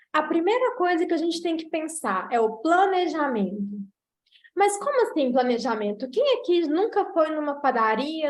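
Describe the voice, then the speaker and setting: A woman with a Minas Gerais accent speaks at a fairly slow pace, her intonation lively. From Brazil, Minas Gerais. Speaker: nutritionist. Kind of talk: online lecture.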